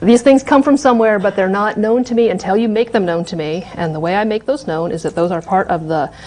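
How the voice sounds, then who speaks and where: Over noticeable background noise, the speech runs at a very fast pace with lively intonation. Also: woman. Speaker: university lecturer. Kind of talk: lecture.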